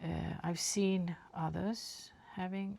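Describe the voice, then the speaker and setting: A woman talks in a Swedish accent. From Sweden. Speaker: watercolour artist. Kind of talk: painting tutorial. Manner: halting.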